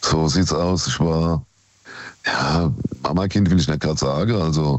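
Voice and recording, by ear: The delivery is fairly slow, with ordinary pitch variation. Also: man, extremely low pitch for a man.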